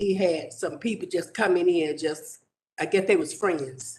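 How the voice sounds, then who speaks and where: A man with a Southern US accent, high-pitched, with lively intonation and a fairly slow pace. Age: 70s. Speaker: resident speaking at public hearing. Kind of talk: public comment.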